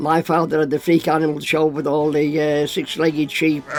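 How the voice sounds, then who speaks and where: Music plays in the background. A man speaks at a fairly quick pace in a fairly high pitch. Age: 80s+. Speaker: travelling showman. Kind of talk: interview. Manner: halting.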